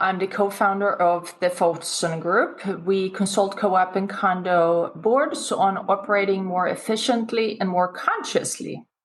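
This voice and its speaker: Here is a woman with a Swedish accent. Her pitch sits in the middle range for a woman. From Sweden. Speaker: business consultant and author. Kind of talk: interview.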